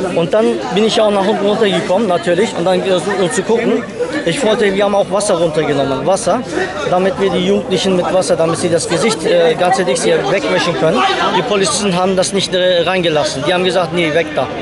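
A man races along at a very fast pace, his dry sound with no echo set against loud background noise. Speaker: local resident, witness. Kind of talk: street interview. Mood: upset, indignant. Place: street.

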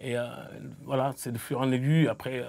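A man's voice comes through with a quiet background behind it. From Senegal (Mbour, near Dakar); Senegal. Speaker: football coach. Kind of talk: studio interview. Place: studio. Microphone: lapel.

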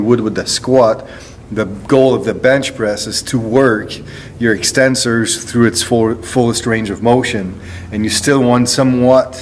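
A man's fairly slow, fairly even-toned speech over light background noise. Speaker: strength coach. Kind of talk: tutorial. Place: gym. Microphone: phone near.

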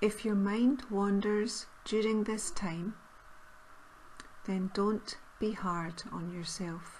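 A woman at medium pitch, very slow with long, frequent pauses and fairly even intonation, over noticeable background noise. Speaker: meditation guide. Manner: slow, soft-spoken.

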